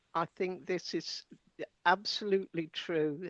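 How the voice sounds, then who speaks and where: Her fairly low voice shows ordinary pitch variation as the woman is recorded with a dry, close sound and no echo. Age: 70s. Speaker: educator and researcher. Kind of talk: casual interview chat.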